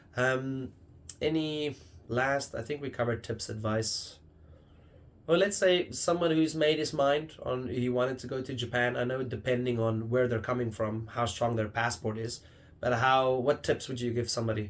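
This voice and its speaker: Speaking at a moderate pace, a man uses medium pitch and ordinary pitch variation. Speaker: podcast host. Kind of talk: casual chat.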